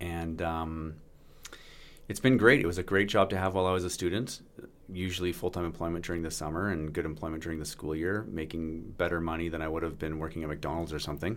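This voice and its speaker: Someone with a Canadian accent talks at a very fast pace with fairly even intonation, and audible room echo surrounds the voice. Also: man, very deep, low pitch for a man. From Canada, British Columbia (Vancouver Island). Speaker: business lawyer. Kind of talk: casual chat.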